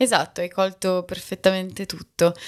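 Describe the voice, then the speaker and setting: At a moderate pace, the speech is captured in a very clean recording with a silent background. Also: woman. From Bologna, Italy. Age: 30s. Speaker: sinologist and podcaster. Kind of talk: casual interview. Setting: in person. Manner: halting, with many fillers.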